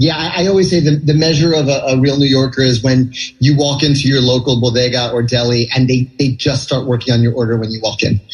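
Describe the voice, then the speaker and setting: Over noticeable background noise, a man speaks at a very fast pace with hardly any pauses, at a medium pitch and with fairly even intonation. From New York City (Manhattan). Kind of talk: radio interview answer. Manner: conversational, chatty with filler words.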